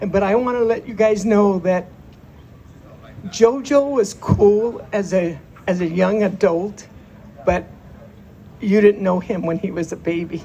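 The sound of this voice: A woman speaks with a dark, mellow tone at a fairly slow pace, her pitch varying in an ordinary way. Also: medium pitch for a woman.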